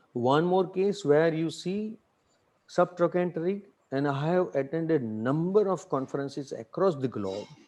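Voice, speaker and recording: In a quiet background, a man with a dark, mellow tone and fairly high pitch speaks at a moderate pace with lively intonation. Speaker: orthopedic surgeon. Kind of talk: lecture.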